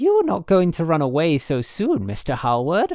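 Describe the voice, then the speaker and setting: Using a put-on character voice, a man sounds shrill at a fairly high pitch, swinging very widely in pitch at a moderate pace. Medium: read story. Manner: gushing, rapid, breathless gossip.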